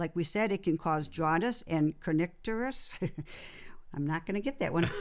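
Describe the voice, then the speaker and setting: A woman with an unremarkable speaking voice talks at a moderate pace and a fairly low pitch. Her intonation is lively. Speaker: podcast host. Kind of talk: podcast host talk.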